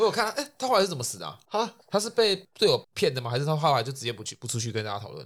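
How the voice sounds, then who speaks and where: This man speaks very fast with hardly any pauses. His fairly high voice makes very wide pitch swings. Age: young. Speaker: podcast co-host. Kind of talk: casual chat.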